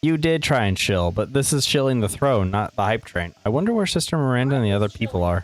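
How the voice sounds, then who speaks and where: A man speaks quietly with lively intonation. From US, West Virginia. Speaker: video game streamer. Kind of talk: casual livestream commentary. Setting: home livestream, shared room with roommate. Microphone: noise gate cuts off quiet word endings.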